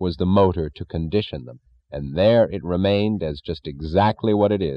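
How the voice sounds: A natural reading voice carries ordinary pitch variation here.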